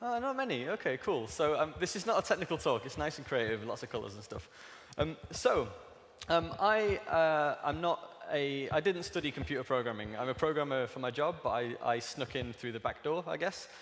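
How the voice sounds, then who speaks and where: The delivery moves at a moderate speed. It is an ordinary speaking voice with lively intonation. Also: man, fairly high pitch for a man. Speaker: digital artist and technologist giving a talk. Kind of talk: conference talk. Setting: stage with audience.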